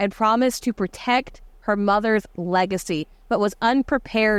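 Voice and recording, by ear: A passage is read aloud in a natural voice. Its pitch varies by an ordinary amount.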